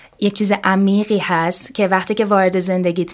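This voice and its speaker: An unremarkable speaking voice from a woman, medium in pitch and moderate in pace. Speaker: yoga teacher. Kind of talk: interview.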